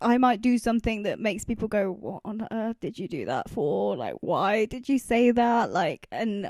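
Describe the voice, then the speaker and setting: A woman's fairly high voice with vocal fry and lively intonation at a moderate pace, dry and close with no echo, on a very clean recording with a silent background. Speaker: independent music producer and artist. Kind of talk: casual production walkthrough.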